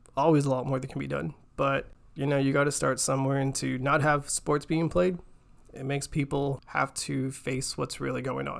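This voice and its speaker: The pace of this speech is fairly quick. It is a plain, everyday voice with an American accent. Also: man. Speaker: podcast co-host.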